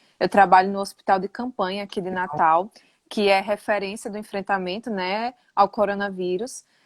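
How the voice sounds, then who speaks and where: A woman speaks with a northeastern Brazilian accent and fairly even intonation. The sound is dry and close with no echo, over a quiet background. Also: medium pitch for a woman, moderate pace. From Northeast Brazil, interior of Rio Grande do Norte. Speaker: nutritionist. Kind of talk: casual live interview.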